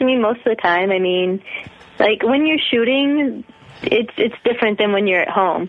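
A woman talks in a fairly high voice with lively intonation. Noticeable background noise runs through the clip. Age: 30s. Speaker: adult film performer. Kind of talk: interview. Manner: hesitant.

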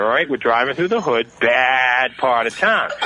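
The man's pitch swings very widely. Behind him there is noticeable background noise. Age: 40s. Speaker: caller. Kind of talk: casual chat. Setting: phone call.

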